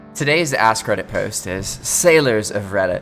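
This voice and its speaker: Music plays in the background as a man talks at a fairly slow pace. His tone is upbeat. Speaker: reddit story narrator. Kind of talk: casual reading of online posts with reactions. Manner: casual, upbeat.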